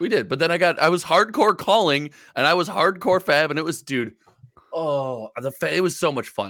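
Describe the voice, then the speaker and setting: On a very clean recording with a silent background, a man with vocal fry and a bright, sharp tone speaks at a moderate pace with lively intonation. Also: fairly high pitch for a man. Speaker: podcast host and content creator. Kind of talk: casual chat. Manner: talkative, chatty, animated.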